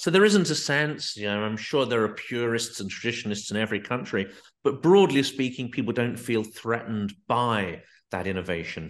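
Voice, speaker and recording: Over a quiet background, a man with an ordinary speaking voice talks at a medium pitch and moderate pace, with lively intonation. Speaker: podcast host. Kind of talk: interview questions.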